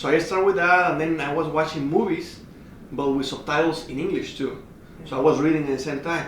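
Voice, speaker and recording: A man with a Spanish accent, fairly high in pitch and fairly quick, his intonation fairly even, amid noticeable background noise and audible room echo. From Mexico. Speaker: racing driver. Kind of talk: casual interview chat. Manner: halting.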